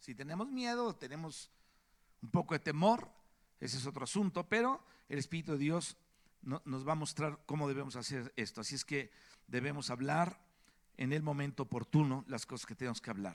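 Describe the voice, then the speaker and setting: Very wide pitch swings from a man with a fairly high voice, moderate in pace but broken by long, frequent pauses. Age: 60s. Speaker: preacher. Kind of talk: sermon.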